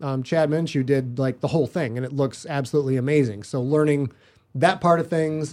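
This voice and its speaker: Over a silent background in a very clean recording, a man with a fairly high pitch talks at a fairly quick pace in a plain, everyday voice, keeping his intonation fairly even. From northern Michigan. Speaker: author and podcaster. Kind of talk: casual chat.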